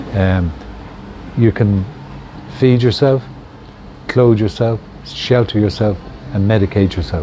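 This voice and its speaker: A man with a Dublin accent speaks at a fairly slow pace, his fairly low pitch showing ordinary variation. He leaves long, frequent pauses, and there is noticeable background noise. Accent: Dublin Irish. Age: 70s. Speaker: hemp shop owner. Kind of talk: interview. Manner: casual, hesitant with fillers.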